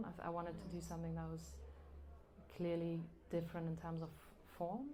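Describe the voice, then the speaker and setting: Speaking at a fairly quick pace, a woman with a fairly low pitch is heard with audible room echo. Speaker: novelist. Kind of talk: live interview. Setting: live event with audience. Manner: hesitant, with fillers.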